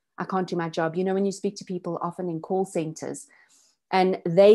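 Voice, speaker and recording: Against a quiet background, a woman with a fairly low pitch and fairly even intonation has an unremarkable speaking voice. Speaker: business consultant. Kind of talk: online masterclass presentation.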